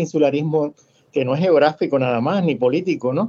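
This man's pitch is fairly high, and he speaks at a fairly quick pace. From Cuba, raised in Panama and Puerto Rico. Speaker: academic author. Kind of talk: interview conversation.

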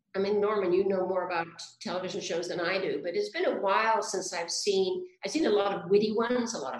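A woman rattles along at a very fast pace while noticeable background noise fills the recording. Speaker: actress. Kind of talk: casual video interview. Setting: video call.

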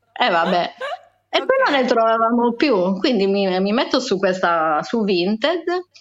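A woman with a fairly high pitch speaks at a moderate pace. Her pitch swings very widely while her loudness stays very even. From Sardinia. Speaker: podcast guest. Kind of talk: casual chat.

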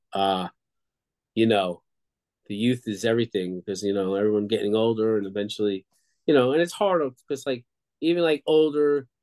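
A man speaks with a New York accent at a fairly quick pace. His intonation is lively, and the sound is dry and close, with no echo. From Long Island, New York. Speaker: punk band bassist. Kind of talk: casual interview. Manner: halting.

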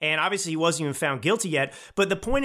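A man speaks with an American accent in an unremarkable speaking voice, pitched fairly high. His intonation is lively, and the recording is very clean with a silent background. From Texas, Dallas. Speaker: author and political commentator. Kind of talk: interview.

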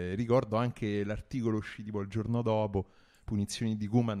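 A dark, mellow tone in monotone, flat intonation at a moderate pace against a quiet background. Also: man. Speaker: guest. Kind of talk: joking chat. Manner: deadpan, joking.

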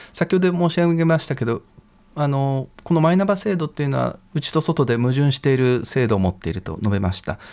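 This man's fairly high voice races along at a very fast pace with very wide pitch swings. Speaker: law professor. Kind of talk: expert interview. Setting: studio. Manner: formal.

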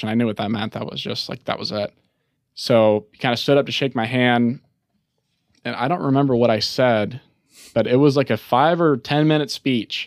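A normal speaking voice from a man, medium in pitch with ordinary pitch variation, moderate pace, big swings in loudness, dry, close sound with no echo, and a very clean recording with a silent background. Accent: American. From Chicago, US Midwest. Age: 20s. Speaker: private jet pilot. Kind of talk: casual interview chat. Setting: studio.

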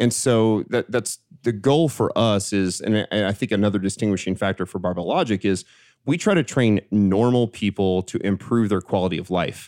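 The recording is very clean with a silent background and a dry, close sound with no echo. A man talks at a moderate pace in an unremarkable speaking voice, fairly low in pitch with ordinary pitch variation. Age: 40s. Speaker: strength coach and fitness company executive. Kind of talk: casual chat.

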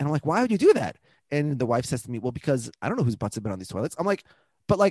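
Speaking with an American accent at a very fast pace, the voice shows vocal fry and very wide pitch swings in a dry, close sound with no echo. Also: man. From Minneapolis, US Midwest. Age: 30s. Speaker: podcast host. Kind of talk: casual chat.

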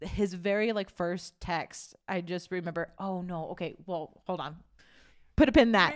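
A woman speaks at a fairly slow pace with a medium pitch and ordinary pitch variation. The recording is very clean, with a silent background. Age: 30s. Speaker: churchgoer sharing faith testimony. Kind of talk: testimony. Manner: animated.

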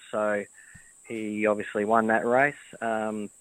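A man speaks with an Australian accent at a medium pitch. The background is quiet. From Adelaide, South Australia. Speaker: racehorse trainer. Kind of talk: casual interview.

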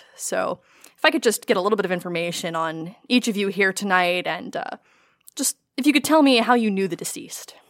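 At a fairly quick pace, a woman with a normal speaking voice talks at a medium pitch with lively intonation. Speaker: tabletop game designer. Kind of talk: tabletop roleplaying game session. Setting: studio.

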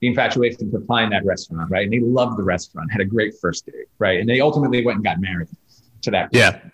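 A man with an American accent speaks at a medium pitch, sounding somewhat breathy. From New York. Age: 40s. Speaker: restaurant guide co-founder. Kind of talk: casual chat. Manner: animated.

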